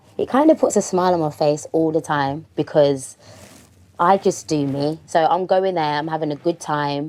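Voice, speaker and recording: A woman's fairly low voice in a Birmingham accent, at a moderate pace with ordinary pitch variation. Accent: Brummie. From Birmingham, England. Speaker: rapper. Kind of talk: interview.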